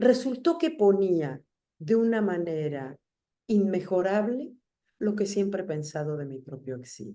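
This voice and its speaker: Dark, mellow tone from a woman at medium pitch, with very wide pitch swings and a fairly slow pace. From Argentina. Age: 60s. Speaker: writer and essayist. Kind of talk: interview conversation.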